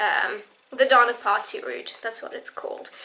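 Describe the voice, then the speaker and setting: Noticeable background noise surrounds a woman's raised, projected voice. She speaks at a high pitch. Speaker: book vlogger. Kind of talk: casual vlog monologue. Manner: casual, with many fillers.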